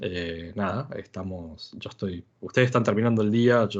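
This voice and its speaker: Against a quiet background, a man speaks at a moderate pace in a fairly low pitch with ordinary pitch variation. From Argentina. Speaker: software developer, conference speaker. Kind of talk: technical talk. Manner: halting, many fillers.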